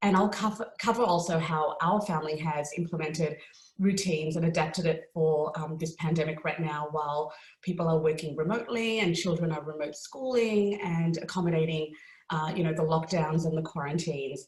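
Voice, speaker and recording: A woman talks in an Australian accent at a fairly low pitch. She keeps a fairly quick pace with ordinary pitch variation. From Australia, Melbourne. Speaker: lawyer and parent speaker. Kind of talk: webinar talk. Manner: frequent filler words (um).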